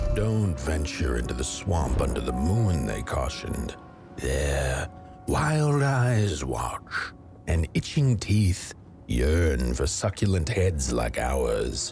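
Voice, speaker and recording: A man in a put-on character voice speaks at a very slow pace while clear music plays in the background. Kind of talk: dark fairy-tale narration. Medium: machinima.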